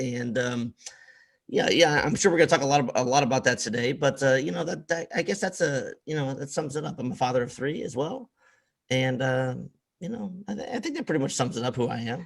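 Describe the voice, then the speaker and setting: Somewhat breathy, a man talks at a fairly quick pace in a fairly high voice. His intonation is lively. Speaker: podcast host.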